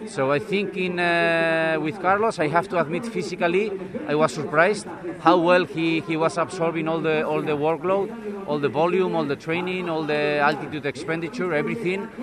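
A man speaks in a high-pitched voice. Background noise is noticeable. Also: ordinary pitch variation, moderate pace. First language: Spanish. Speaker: cycling coach. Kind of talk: interview.

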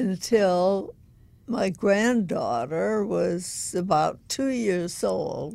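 A woman with an American accent speaks at a very slow pace and a medium pitch. Her dark, mellow tone carries lively intonation. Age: 90s. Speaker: collage artist. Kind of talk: casual interview.

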